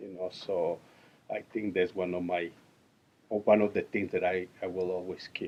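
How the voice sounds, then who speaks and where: A man speaks with a Mexican accent at a moderate pace. His delivery has long, frequent pauses. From Mexico. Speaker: interviewee, immigrant. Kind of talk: interview. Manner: halting.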